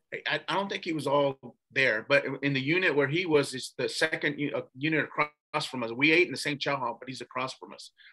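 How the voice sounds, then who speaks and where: A man with an American accent talks at a fairly quick pace in a bright, sharp tone, with hardly any pauses and big swings in loudness. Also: fairly high pitch for a man, ordinary pitch variation. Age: 60s. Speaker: former attorney, ex-prisoner. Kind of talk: interview storytelling. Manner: casual, with many fillers and repetitions.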